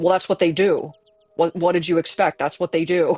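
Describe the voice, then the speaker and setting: A man puts on a character voice at a high pitch and a fairly quick pace. Music plays in the background. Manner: blunt, unbothered.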